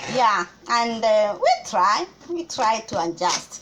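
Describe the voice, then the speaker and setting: A woman with a Kenyan accent uses a raised, projected voice with very wide pitch swings over noticeable background noise. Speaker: cooking vlogger. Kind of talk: casual vlog chat.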